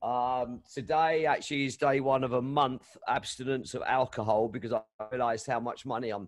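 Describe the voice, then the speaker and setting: With a London accent, a man talks at a fairly slow pace and keeps a fairly even intonation. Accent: English, London area. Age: 60s. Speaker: DJ. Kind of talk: casual interview chat. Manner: halting, many fillers.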